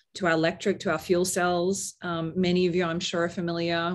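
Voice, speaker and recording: Against a quiet background, a woman with an Australian accent talks very fast in a fairly low pitch with monotone, flat intonation. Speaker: marketing executive. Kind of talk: webinar panel discussion.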